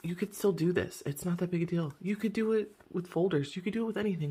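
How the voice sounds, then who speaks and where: A somewhat breathy woman at a very fast pace, her intonation lively. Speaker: budgeting vlogger. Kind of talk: casual vlog tutorial. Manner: rambling, hesitant with fillers.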